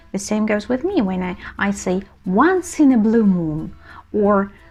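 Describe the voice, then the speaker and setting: A woman with a Russian accent speaks at a fairly slow pace in a fairly high voice, her pitch swinging very widely. Music plays in the background. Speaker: language teacher. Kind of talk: tutorial.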